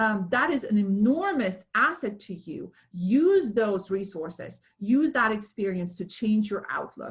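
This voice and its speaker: An animated, somewhat breathy woman's voice at a medium pitch, with hardly any pauses. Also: lively intonation, fairly slow pace. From Romania, then Germany from age 11. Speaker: speaker, business coach. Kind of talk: webinar presentation Q&A. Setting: video call. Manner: animated, many fillers.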